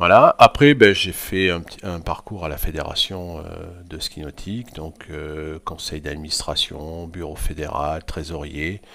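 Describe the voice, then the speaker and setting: Very deep and low, this man's voice moves at a fairly slow pace with ordinary pitch variation. His loudness swings widely. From France, Limousin. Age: 60s. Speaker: sports club president. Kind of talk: podcast interview. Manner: hesitant, many fillers.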